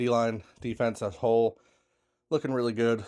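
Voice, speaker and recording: This is a man speaking at a medium pitch. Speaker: sports podcast host. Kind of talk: casual chat.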